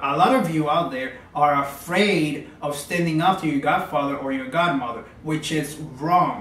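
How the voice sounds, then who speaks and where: A man with a Spanish accent speaks at a fairly high pitch with ordinary pitch variation. Noticeable background noise and audible room echo are present. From Cuba. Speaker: religious practitioner and teacher. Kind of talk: video monologue. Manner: stuttering today.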